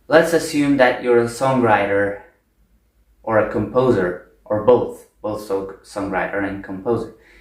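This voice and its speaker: In a room with audible echo, a man with a non-native accent speaks at a fairly slow pace, medium in pitch with ordinary variation. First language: not English. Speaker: video essayist. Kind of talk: spontaneous monologue. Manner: unscripted, with fillers.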